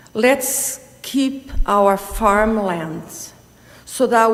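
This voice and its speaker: Her fairly high voice shows ordinary pitch variation. This woman is recorded with audible room echo and noticeable background noise. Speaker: delegation speaker at council meeting. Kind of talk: public delegation statement.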